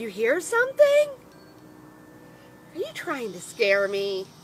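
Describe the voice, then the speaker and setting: A put-on character voice moves at a fairly slow pace. Background noise is clearly heard. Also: female-sounding voice, fairly high pitch for a woman. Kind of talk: bedtime story character voice for children. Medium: read story. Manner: nervous, panicky, whispering then crying for help.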